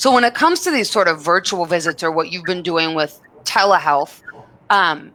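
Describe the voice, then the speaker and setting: A woman with an American accent, a bright, sharp tone, ordinary pitch variation and a moderate pace. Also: fairly low pitch for a woman. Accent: Minnesota accent, covered up professionally. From Minnesota. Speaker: program director hosting webinar. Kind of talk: live webinar moderation. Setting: live video stream.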